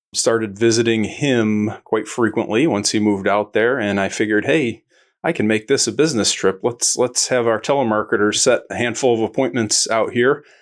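A man with an American accent speaks at a moderate pace, with hardly any pauses, at a medium pitch with fairly even intonation. He has an unremarkable speaking voice. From Joliet, Illinois, US. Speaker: health benefits insurance agent. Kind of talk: casual interview.

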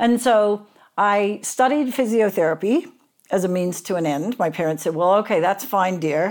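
The recording is very clean, with a silent background. A woman with an Australian accent speaks with ordinary pitch variation. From Australia, Sydney. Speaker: physiotherapist and coach. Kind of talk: podcast interview.

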